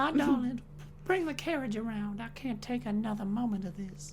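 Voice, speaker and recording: A female-sounding put-on character voice with a Southern accent talks at a fairly high pitch and moderate pace over clear background noise. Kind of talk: genteel, dramatic.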